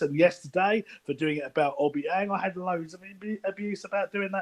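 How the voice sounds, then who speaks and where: A man talking at a fairly quick pace with ordinary pitch variation, dry and close with no echo. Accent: London. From East London, England. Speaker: anonymous football insider. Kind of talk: casual chat.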